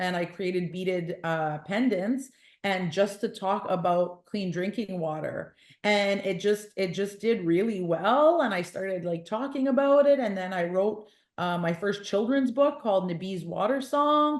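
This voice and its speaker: In an ordinary speaking voice, a woman with a Canadian accent talks at a fairly slow pace and medium pitch with lively intonation. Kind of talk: podcast interview.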